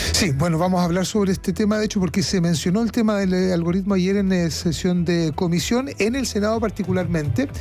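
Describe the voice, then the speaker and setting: Over music in the background, a man with a high pitch talks at a fairly quick pace with hardly any pauses, very even loudness and ordinary pitch variation. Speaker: radio host. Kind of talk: radio interview. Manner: halting, many fillers.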